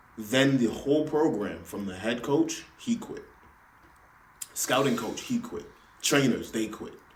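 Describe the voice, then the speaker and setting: Audible room echo surrounds a man with an American accent whose pitch varies in an ordinary way. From Los Angeles. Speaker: podcast guest, former college basketball hopeful. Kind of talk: casual chat.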